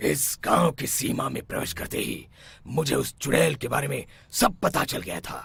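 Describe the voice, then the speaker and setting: In a cartoonish character voice, a man speaks with a raspy sound at medium pitch. His pitch swings very widely, and his pace is moderate. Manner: assured, authoritative.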